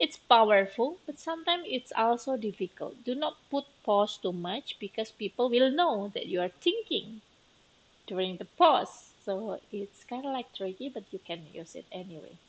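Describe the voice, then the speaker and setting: Speaking at a moderate pace, a woman with a non-native accent and a fairly high pitch shows very wide pitch swings and big swings in loudness. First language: not English. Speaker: teacher. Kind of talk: lecture. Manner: hesitant, many fillers.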